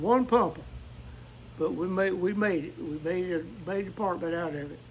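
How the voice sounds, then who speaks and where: A man speaks with an American accent. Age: 80s+. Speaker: volunteer firefighter. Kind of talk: interview. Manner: halting.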